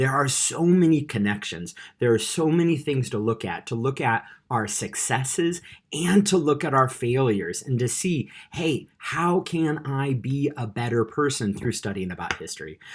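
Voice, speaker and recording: In a very clean recording with a silent background, a man with a General American accent speaks at medium pitch in an enthusiastic tone, with lively intonation and a somewhat breathy voice. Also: moderate pace. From California, US. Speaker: teacher. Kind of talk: class introduction video.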